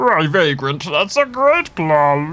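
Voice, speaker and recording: A middle pitch marks this put-on character voice. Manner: sarcastic, exasperated.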